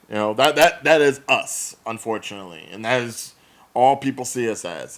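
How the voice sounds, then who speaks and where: This man speaks at a moderate pace with an American accent. His pitch is medium, with ordinary variation. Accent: Jersey accent, slight country twang. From New Jersey, Central Jersey. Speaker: podcast co-host. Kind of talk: casual chat.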